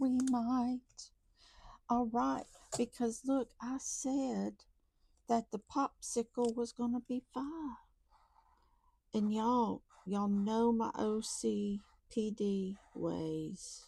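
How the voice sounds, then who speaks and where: A woman speaks very slowly with a Southern US accent, leaving long, frequent pauses. The sound is dry and close, with no echo. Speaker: budgeting YouTuber. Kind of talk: casual vlog talk to viewers. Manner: counting aloud, chatty.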